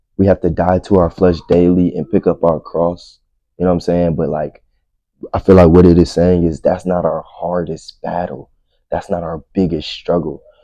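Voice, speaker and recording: Very deep and low, a man's voice moves at a moderate pace. His intonation is monotone and flat. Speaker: podcast host. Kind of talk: casual religious podcast monologue. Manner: stuttering at times.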